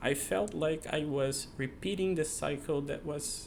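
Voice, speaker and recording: A man talks in a South American accent. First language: not English. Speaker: software engineer, channel creator. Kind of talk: personal monologue to camera. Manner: halting, many fillers and restarts.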